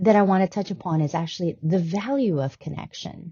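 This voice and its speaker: Somewhat breathy, a woman is speaking. Her pace is fairly quick. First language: not English. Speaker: health and wellness podcast host. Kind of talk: casual talk-style teaching monologue. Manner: hesitant, many fillers (um, uh, right?).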